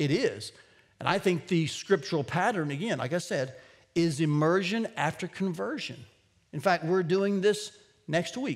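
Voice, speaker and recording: At a moderate pace, a man speaks in a high pitch over a quiet background. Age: 50s. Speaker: pastor. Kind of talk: sermon. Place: church.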